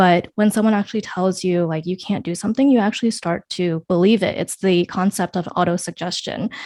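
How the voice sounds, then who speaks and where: In an American accent, a woman with a normal speaking voice talks at a medium pitch and a fairly quick pace, with hardly any pauses. The sound is dry and close with no echo, and her intonation is fairly even. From United States. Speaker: podcast host. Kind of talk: interview podcast.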